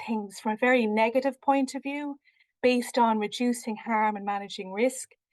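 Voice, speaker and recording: In a dry, close recording with no echo and a quiet background, a woman speaks at a moderate pace with a fairly high pitch and ordinary pitch variation. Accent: Irish. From Ireland. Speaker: researcher. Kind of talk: research presentation. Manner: hesitant, many fillers.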